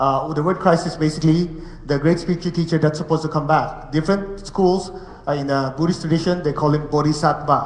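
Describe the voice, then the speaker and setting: Very rapid, flat, monotone delivery in an echoing room with noticeable background noise. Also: man, fairly high pitch for a man. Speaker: meditation teacher. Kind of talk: spiritual lecture. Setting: room with live audience and translators. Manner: fast.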